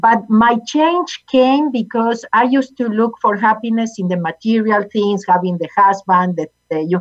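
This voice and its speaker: A woman in a Spanish accent, fairly high in pitch, with ordinary pitch variation, a moderate pace, and a dry, close sound with no echo. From Argentina. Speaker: motivational speaker and author, former accountant. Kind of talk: interview, personal story and teaching.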